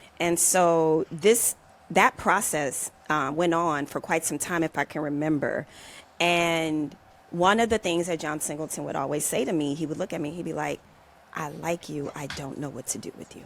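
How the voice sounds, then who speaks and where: Big swings in loudness, with an American accent. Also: woman, very deep, low pitch for a woman, ordinary pitch variation, moderate pace. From US South, New Orleans. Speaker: former actor, podcast guest. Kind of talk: personal storytelling in interview.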